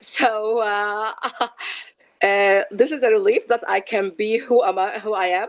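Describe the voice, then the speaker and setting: A woman with an Arabic accent speaks at a fairly slow pace. Her voice is fairly high, with fairly even intonation. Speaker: physician and research educator. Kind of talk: panel discussion. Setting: video call. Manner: loud; halting.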